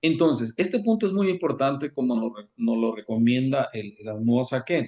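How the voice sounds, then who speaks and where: A man talks at a fairly quick pace in a dark, mellow tone, his pitch swinging very widely. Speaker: Kabbalah teacher. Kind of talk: lecture. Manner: fast.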